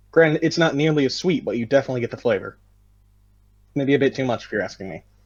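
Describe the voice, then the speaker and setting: With an American accent, a man talks at a very fast pace in a fairly high pitch, his pitch varying in an ordinary way. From United States. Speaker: podcast co-host. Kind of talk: casual chat.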